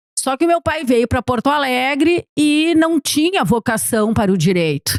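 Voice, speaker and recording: A woman's high voice at a moderate pace, with very wide pitch swings, very even loudness and a dry, close sound with no echo. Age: 60s. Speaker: documentary filmmaker. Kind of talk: podcast interview.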